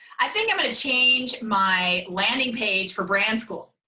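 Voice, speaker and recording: A woman speaks with a strong northern US accent and a fairly high pitch. Her tone is animated and her intonation lively. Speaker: brand consultant. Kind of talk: interview.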